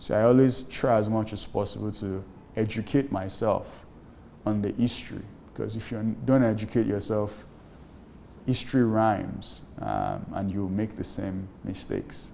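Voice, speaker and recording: In a Nigerian accent, a man with a fairly low pitch and a dark, mellow tone speaks at a moderate pace with fairly even intonation, and room echo is audible. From Nigeria (Lagos). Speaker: startup founder. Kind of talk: interview.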